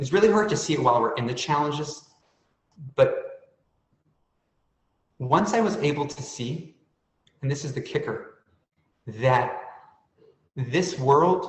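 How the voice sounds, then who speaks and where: Audible room echo surrounds a somewhat breathy man who speaks fairly slowly with long, frequent pauses, a fairly high pitch and lively intonation. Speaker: author and panelist on stuttering. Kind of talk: panel discussion testimony.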